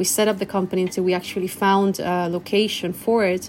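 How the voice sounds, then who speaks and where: A woman's medium-pitched voice with a Spanish accent and fairly even intonation. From Chile. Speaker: cafe owner. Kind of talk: interview. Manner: halting, many fillers.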